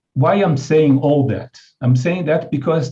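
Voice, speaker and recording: A man's dark, mellow, somewhat breathy voice with a Brazilian Portuguese accent, at a fairly slow pace and with ordinary pitch variation. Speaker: international NGO leader, keynote speaker. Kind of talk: keynote speech. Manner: halting, many fillers and restarts.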